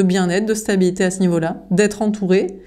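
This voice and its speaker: A woman speaks with a dark, mellow tone. There is audible room echo. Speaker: tarot card reader. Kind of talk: tarot reading. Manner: halting with fillers.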